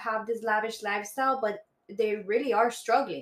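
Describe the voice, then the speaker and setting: A woman speaks with a Spanish accent. Her intonation is fairly even. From Bogota, Colombia, raised Miami. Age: 20s. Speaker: guest. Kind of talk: casual chat.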